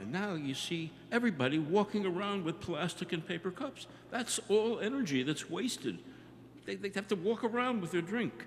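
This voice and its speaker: Noticeable background noise accompanies a high-pitched man speaking at a moderate pace with lively intonation. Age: 70s. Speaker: audience member, geography teacher. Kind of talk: audience question.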